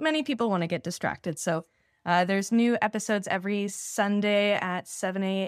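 A woman with a Canadian accent has an unremarkable speaking voice at medium pitch and ordinary pitch variation. She talks at a fairly quick pace in a very clean recording with a silent background. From Canada. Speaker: podcast host. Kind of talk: casual chat.

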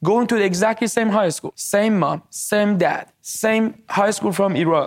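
A man speaks with a Persian accent. His pitch is high and his pace is moderate. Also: very clean recording, silent background. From Iran. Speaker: tech entrepreneur. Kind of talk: interview.

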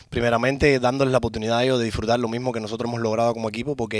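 Over noticeable background noise, a man talks at a very fast pace with a medium pitch and monotone, flat intonation. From Cuba. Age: 30s. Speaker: car shop owner. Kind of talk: interview.

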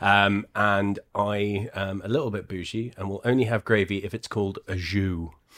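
A man talks in a normal speaking voice, fairly low in pitch, with fairly even intonation. He keeps a moderate pace with hardly any pauses. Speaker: board game cafe co-host. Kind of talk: casual chat.

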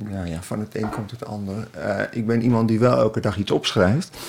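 A man talks at a moderate pace in a fairly low pitch with ordinary pitch variation. Noticeable background noise runs under his voice. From Twente, eastern Netherlands. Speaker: essayist and columnist. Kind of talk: casual chat. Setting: outdoors on a bench.

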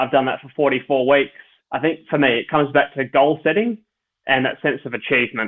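A fairly quick voice with an Australian accent, ordinary pitch variation and big swings in loudness. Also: man, fairly high pitch for a man. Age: 30s. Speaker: professional ultra cyclist. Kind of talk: interview, personal storytelling.

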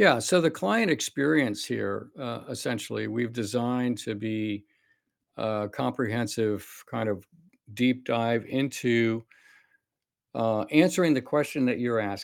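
In a normal speaking voice, a man talks at a medium pitch and a fairly slow pace with ordinary pitch variation, on a very clean recording with a silent background. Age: 60s. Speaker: cardiologist and longevity clinic founder. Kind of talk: interview conversation.

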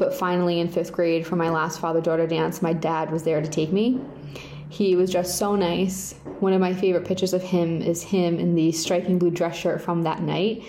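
With an American accent, a woman speaks in a fairly low voice at a moderate pace amid audible room echo. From Rhode Island, US. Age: 30s. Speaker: victim's daughter and advocate. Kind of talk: prepared personal statement.

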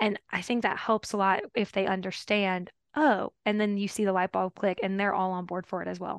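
The speaker talks with a Louisiana accent and hardly any pauses. The intonation is fairly even and the background is quiet. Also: woman, medium pitch for a woman, moderate pace, dry, close sound with no echo. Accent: Southern US (Louisiana). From Louisiana, US South. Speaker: veterinary dermatologist. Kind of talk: professional interview.

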